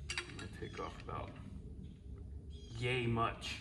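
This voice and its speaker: A man's voice over noticeable background noise. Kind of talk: tutorial. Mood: relaxed, joking. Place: garage. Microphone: camera far.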